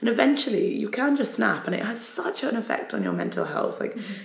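A woman with a Geordie accent speaks in a room with audible echo and noticeable background noise. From northern England, Newcastle upon Tyne. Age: 30s. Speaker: poet and spoken word artist. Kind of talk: casual chat. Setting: office.

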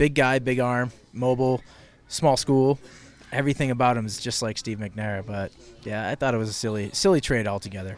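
Moderate pace and ordinary pitch variation. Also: man. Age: 30s. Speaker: sports talk show host. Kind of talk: casual chat. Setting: live from a lounge. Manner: soft-spoken.

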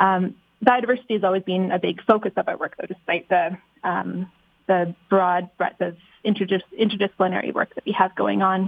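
This woman has a normal speaking voice at a medium pitch. She talks at a fairly quick pace with fairly even intonation. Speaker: research institute scientist. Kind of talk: interview chat. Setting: phone call.

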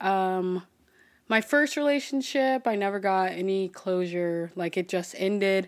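On a very clean recording with a silent background, a woman speaks at a medium pitch in a plain, everyday voice. Her pace is fairly slow and her pitch varies in an ordinary way. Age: 20s. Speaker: podcast host. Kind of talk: casual solo monologue.

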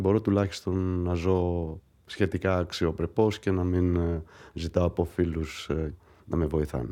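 A man speaks very slowly with a very deep, low pitch and a dark, mellow tone, using fairly even intonation. Long, frequent pauses break up his speech over a quiet background. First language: Greek (speaking French). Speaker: patient. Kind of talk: testimony.

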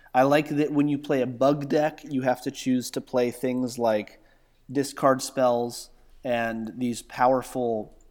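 In a very clean recording with a silent background, a man with an American accent speaks at a medium pitch and a fairly slow pace, his intonation fairly even. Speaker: content creator and Magic player. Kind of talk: casual chat.

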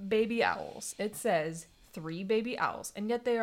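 Ordinary pitch variation in plain reading aloud.

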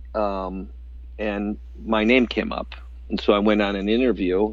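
Here a man talks at a fairly low pitch. His pitch swings very widely and his pace is fairly slow. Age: 50s. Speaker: entrepreneur, restaurant co-founder. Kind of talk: interview.

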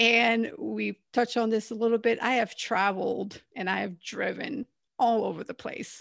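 A woman with vocal fry and a fairly high pitch speaks at a moderate pace with fairly even intonation in a very clean recording with a silent background. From Canada. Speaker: former Marine officer and author. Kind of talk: interview conversation.

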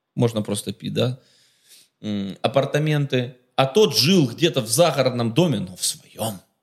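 Speaking at a fairly slow pace with long, frequent pauses, a man sounds somewhat breathy and animated, his intonation lively. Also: medium pitch for a man. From Ukraine, Kharkiv. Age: 30s. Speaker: businessman. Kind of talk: casual chat.

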